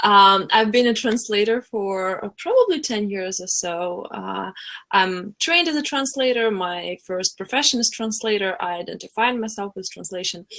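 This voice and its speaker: With a Russian accent, a woman talks at a moderate pace and a medium pitch, with hardly any pauses. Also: ordinary pitch variation. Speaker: coach and former translator. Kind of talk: webinar interview. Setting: live webinar.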